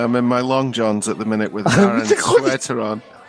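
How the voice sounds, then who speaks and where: Noticeable background noise sits behind this man's voice. He talks at a medium pitch, varying it in an ordinary way. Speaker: comedy podcast host. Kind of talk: casual podcast banter.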